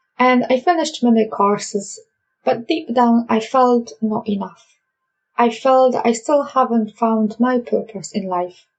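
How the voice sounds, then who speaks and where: A woman speaks with a Polish accent at a fairly slow pace. Her pitch is fairly high. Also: ordinary pitch variation. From Poland. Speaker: life coach. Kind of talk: podcast monologue.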